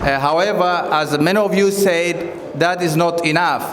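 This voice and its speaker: Through noticeable background noise and audible room echo, a man speaks in a high pitch with fairly even intonation. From Kenya (refugee camps), Somali. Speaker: community leader and former candidate. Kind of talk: campaign speech. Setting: community event with audience.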